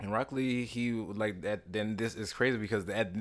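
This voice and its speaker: The speaker talks at a fairly quick pace. The recording is very clean, with a silent background. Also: man. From US South, Louisiana. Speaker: actor. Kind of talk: casual interview.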